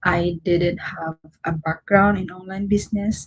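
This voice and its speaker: The sound is dry and close with no echo, carrying a somewhat breathy voice in a monotone, flat intonation. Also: woman. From Philippines, Mindanao. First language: Cebuano (Bisaya). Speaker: online content creator. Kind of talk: livestream motivational talk. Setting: livestream at night. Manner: halting.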